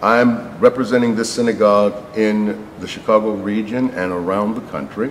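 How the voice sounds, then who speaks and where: With an American accent, a man speaks at a fairly low pitch and fairly even intonation. His loudness swings widely, and there is noticeable background noise. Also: moderate pace. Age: 60s. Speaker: rabbi. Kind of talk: interview. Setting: on location in a synagogue. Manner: hesitant, with fillers.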